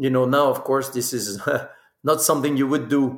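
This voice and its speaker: Speaking with a French accent, a man keeps his fairly high voice in a fairly even intonation. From Burgundy, France. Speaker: spirits producer and master blender. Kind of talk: casual interview. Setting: video call.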